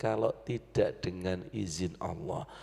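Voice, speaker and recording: A man with a dark, mellow tone and ordinary pitch variation speaks very slowly in a very clean recording with a silent background. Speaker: Islamic preacher. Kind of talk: sermon.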